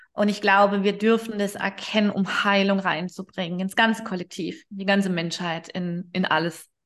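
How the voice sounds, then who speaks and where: Hardly pausing, a woman speaks at a moderate pace in a medium pitch. She has a plain, everyday voice and fairly even intonation. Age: 40s. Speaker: holistic therapist and past-life regression practitioner. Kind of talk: interview.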